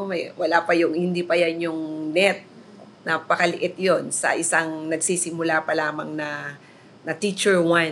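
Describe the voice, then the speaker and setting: A fairly low-pitched woman at a fairly slow pace, monotone and flat in intonation, with noticeable background noise. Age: 50s. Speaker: teacher. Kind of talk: interview.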